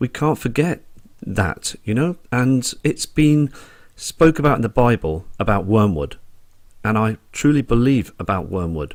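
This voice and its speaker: The speaker has a Dorset accent and a fairly slow pace, with very wide pitch swings. The recording is very clean, with a silent background. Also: man, medium pitch for a man. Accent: Dorset twang. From Dorset, England. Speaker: sky watcher video blogger. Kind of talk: casual vlog monologue.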